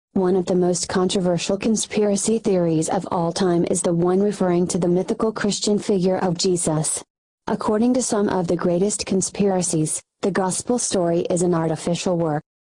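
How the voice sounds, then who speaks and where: A put-on, robotic character voice, female-sounding at a medium pitch and a fairly quick pace. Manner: flat, mechanical.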